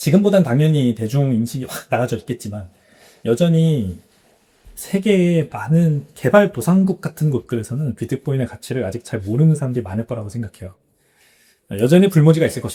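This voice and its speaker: Somewhat breathy and dark, mellow in tone, a man at a medium pitch talks at a fairly quick pace with very wide pitch swings. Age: 40s. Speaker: bitcoin entrepreneur. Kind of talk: podcast interview.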